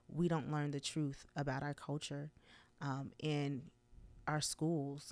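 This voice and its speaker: In an American accent, a woman talks at a fairly slow pace with a very deep, low pitch on a very clean recording with a silent background. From Chicago South Side, US. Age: 40s. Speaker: high school Spanish teacher. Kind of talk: personal testimony monologue. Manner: hesitant with frequent fillers.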